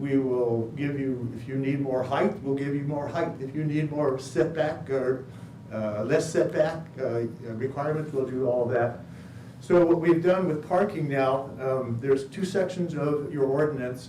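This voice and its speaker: Fairly high for a man, this voice moves at a fairly slow pace with ordinary pitch variation. There is audible room echo and noticeable background noise. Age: old. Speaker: project applicant presenting to committee. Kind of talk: public meeting presentation.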